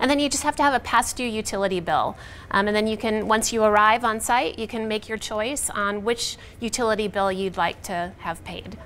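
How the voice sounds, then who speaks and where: A woman talks at a fairly quick pace with ordinary pitch variation over light background noise. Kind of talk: interview answer. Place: studio.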